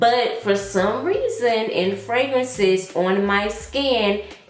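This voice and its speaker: Lively intonation in an American accent, with audible room echo and noticeable background noise. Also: woman. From US South. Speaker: fragrance reviewer. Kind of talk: casual vlog review. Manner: animated.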